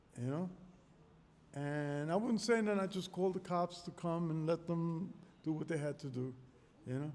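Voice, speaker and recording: A man with a high pitch speaks at a moderate pace. He leaves long, frequent pauses. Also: ordinary pitch variation. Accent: New York. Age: 60s. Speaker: street interviewee, voter. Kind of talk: casual street interview. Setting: community center.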